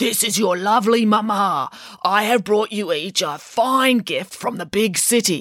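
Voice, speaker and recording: Delivered at a moderate pace, this put-on character voice sounds gruff. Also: female-sounding voice, medium pitch for a woman. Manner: deceptively sweet.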